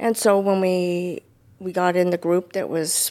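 A plain, everyday voice with an American accent. The intonation stays fairly even. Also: woman. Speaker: church member. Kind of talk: testimony.

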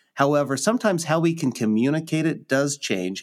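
A man with lively intonation at a moderate pace, on a very clean recording with a silent background. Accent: Midwestern American. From Nebraska, US Midwest. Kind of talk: casual conversation about the Bible.

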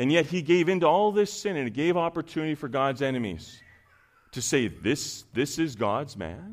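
On a very clean recording with a silent background, a man speaks in a normal speaking voice at a moderate pace. His pitch is fairly high and his intonation lively. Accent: Canadian. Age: 40s. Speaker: preacher. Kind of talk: sermon.

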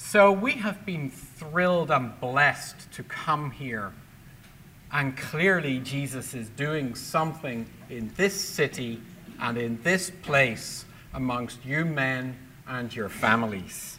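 A man speaks very slowly in a Northern Irish accent, his fairly high pitch carrying lively intonation. Audible room echo surrounds his voice. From Belfast, Northern Ireland. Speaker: public speaker and ministry leader. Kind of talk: testimony. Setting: church men's lunch.

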